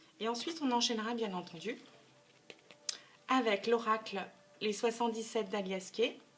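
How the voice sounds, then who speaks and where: At a moderate pace and a fairly high pitch, a woman speaks with ordinary pitch variation and long, frequent pauses over noticeable background noise. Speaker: tarot card reader. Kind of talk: tarot reading video. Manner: hesitant, with repeated words.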